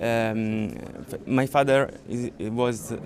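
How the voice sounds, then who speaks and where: A man's medium-pitched, monotone voice in an Italian accent, flat in intonation, against noticeable background noise. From Italy, Sicily. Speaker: crash victim's family member. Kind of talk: public statement. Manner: halting.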